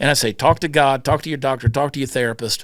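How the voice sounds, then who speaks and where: Speaking at a very fast pace with a Southern US accent and ordinary pitch variation, a man comes through on a very clean recording with a silent background. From US South, Georgia. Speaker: comedian. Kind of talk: casual chat.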